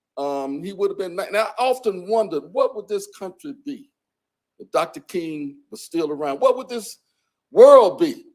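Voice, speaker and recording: A man's high-pitched voice with a Southern US accent and lively intonation. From US South, Birmingham, Alabama. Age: 70s. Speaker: civil rights bombing survivor, speaker. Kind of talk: public talk. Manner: halting, repeats words.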